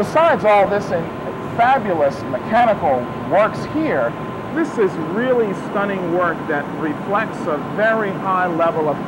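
A man at a fairly slow pace over loud background noise. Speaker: TV program host. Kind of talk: documentary tour commentary. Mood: admiring, enthusiastic. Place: factory. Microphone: lapel.

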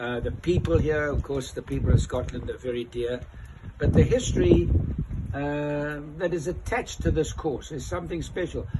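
Loud background noise fills the clip. A man speaks over it at a moderate pace. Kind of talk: interview answer. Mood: warm, enthusiastic. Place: street. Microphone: phone near.

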